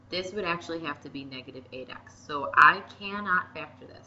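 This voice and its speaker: At a moderate pace, a woman speaks with a fairly low pitch. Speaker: math teacher. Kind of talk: tutorial.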